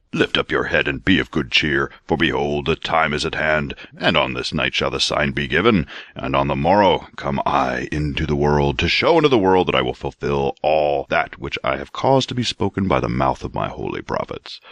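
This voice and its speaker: Using a put-on character voice, a man pitches his speech very deep and low. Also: moderate pace. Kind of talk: archaic, solemn. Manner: booming, majestic.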